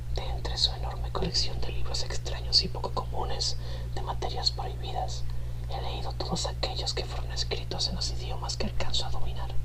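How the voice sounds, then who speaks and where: Whispering over noticeable background noise. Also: fairly quick pace. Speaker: ASMR channel host. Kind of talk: horror story reading. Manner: whispered.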